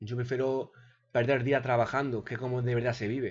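Against a quiet background, a man speaks in a somewhat breathy voice. His intonation stays monotone and flat. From Spain. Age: 30s. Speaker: gaming YouTuber. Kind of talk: unedited video monologue. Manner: hesitant, repeats words. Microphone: webcam.

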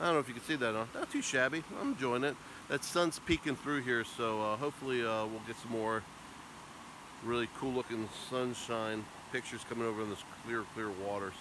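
Noticeable background noise accompanies a man speaking at a fairly quick pace, the sound dry with no echo. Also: ordinary pitch variation. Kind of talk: casual vlog chat. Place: waterside. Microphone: phone near.

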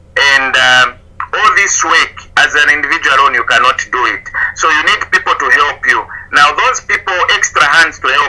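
Clear background noise is present as a man speaks at a middling speed. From Zambia, Solwezi. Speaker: tomato farmer. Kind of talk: interview.

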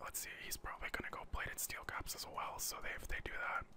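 Whispering in a relaxed tone at a fairly quick pace, the speaker is heard over noticeable background noise. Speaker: gaming ASMR commentator. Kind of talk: gameplay commentary. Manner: whispered, relaxed.

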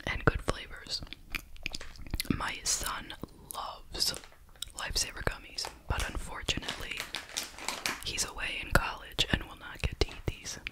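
Someone whispers softly at a fairly slow pace amid noticeable background noise. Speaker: candy reviewer. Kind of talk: casual review chat. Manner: soft ASMR whisper.

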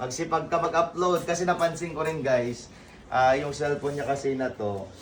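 An animated man's voice over noticeable background noise. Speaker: vlogger. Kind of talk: prank vlog.

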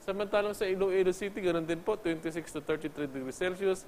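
Over light background noise, a man talks at a fairly quick pace with a high pitch and fairly even intonation. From Philippines. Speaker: weather forecaster. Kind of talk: news reading; formal televised weather report, read out methodically with rundown of city temperatures. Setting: studio. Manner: formal; measured, steady pace, polite with frequent 'po'. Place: studio. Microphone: lapel.

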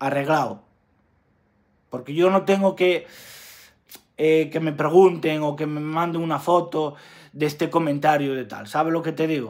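A man with a fairly high pitch speaks at a fairly slow pace, leaving long, frequent pauses. The recording is very clean, with a silent background. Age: 20s. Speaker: YouTuber. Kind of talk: vlog rant. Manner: halting.

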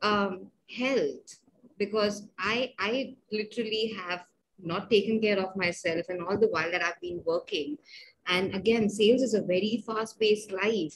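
A woman's fairly high, somewhat breathy voice at a fairly slow pace, over light background noise. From India. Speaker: podcast host, tech worker. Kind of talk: interview. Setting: video call. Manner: halting, frequent fillers. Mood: friendly, animated. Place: home room. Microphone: webcam.

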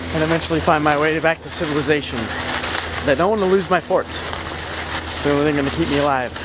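Amid loud background noise, a man talks at a very fast pace in a dry sound with no echo. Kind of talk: casual vlog chat. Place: forest. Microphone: phone near.

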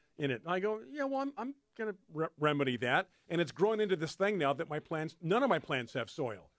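Against a quiet background, a man with a high voice talks at a fairly quick pace with very wide pitch swings, in a dry sound with no echo. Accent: American. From California. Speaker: radio show host. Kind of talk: radio talk show. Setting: radio studio. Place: studio. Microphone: studio mic.

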